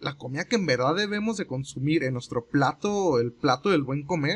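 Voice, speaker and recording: A man speaks fairly slowly in a plain, everyday voice, fairly high in pitch with lively intonation. The sound is dry and close, with no echo. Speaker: podcast co-host. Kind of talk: casual chat.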